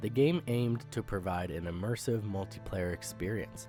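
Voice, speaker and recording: Music plays behind the speech. A man talks at a moderate pace. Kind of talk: gaming commentary narration.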